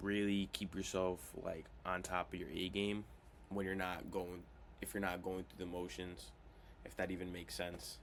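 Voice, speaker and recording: The speaker is quiet, with fairly even intonation. The pace is moderate. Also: man. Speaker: cold-calling vlogger. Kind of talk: casual vlog while making calls.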